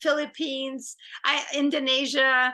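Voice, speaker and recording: A woman's raised, projected voice with a French accent, high in pitch, bright and sharp in tone, at a fairly slow pace, against a quiet background. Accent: French accent, lessened by coaching. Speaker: film director and screenwriter. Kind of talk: interview.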